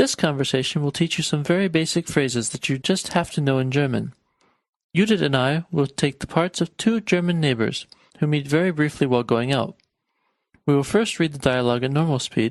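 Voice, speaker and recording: A man with an American accent speaks at a fairly high pitch, with ordinary pitch variation. The sound is dry and close, with no echo. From United States. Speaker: language teacher. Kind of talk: language lesson.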